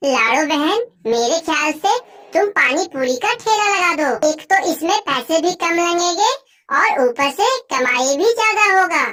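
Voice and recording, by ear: This is a squeaky, cartoonish character voice. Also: female-sounding voice, extremely high pitch for a woman, fairly slow pace.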